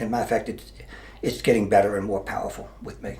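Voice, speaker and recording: A man with an American accent, somewhat breathy, with audible room echo. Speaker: mayor, retired police officer. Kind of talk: interview. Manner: halting.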